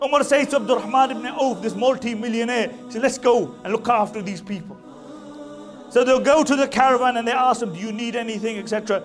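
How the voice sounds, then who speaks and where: A man speaks at an extremely high pitch and a fairly quick pace, with ordinary pitch variation. Music runs in the background. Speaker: Islamic scholar giving a talk. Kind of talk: Islamic lecture storytelling.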